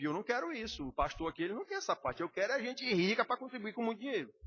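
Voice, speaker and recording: A man at a very fast pace, with lively intonation. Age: 60s. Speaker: pastor. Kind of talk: sermon. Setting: church.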